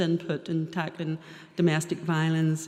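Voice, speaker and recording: With a Northern Irish accent, a woman talks at a moderate pace. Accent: Northern Irish (Ballymena). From Northern Ireland, Ballymena. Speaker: probation service adviser. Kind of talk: seminar talk.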